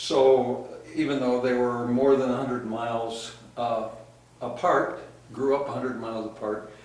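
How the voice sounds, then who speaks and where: A man with a Midwestern US accent speaks at a moderate pace in a medium pitch and monotone, flat intonation. The clip has audible room echo and noticeable background noise. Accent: US Midwest. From Nebraska, Cass County. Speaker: oral history interviewee. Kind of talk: oral history interview. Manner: halting, many fillers.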